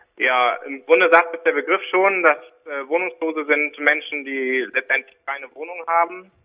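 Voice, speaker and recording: A man with an ordinary speaking voice talks at a fairly high pitch and a moderate pace. His loudness swings a lot, with ordinary pitch variation. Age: 30s. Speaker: social worker and deacon. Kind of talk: interview. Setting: phone call.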